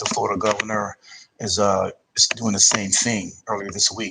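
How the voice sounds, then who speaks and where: A man speaks in a New Jersey accent. His pace is moderate. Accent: East Coast, New Jersey. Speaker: podcast host. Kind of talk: commentary monologue.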